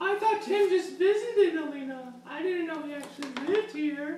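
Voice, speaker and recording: In a put-on character voice, a man squeaks at an extremely high pitch and a moderate pace, with slight echo. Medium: solo performance. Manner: gasping, surprised.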